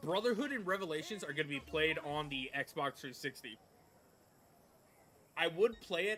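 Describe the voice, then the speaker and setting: Using lively intonation, a man speaks at a fairly high pitch with long, frequent pauses. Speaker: gaming streamer. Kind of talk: live gameplay commentary. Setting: livestream. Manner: loud; casual, hesitant with fillers.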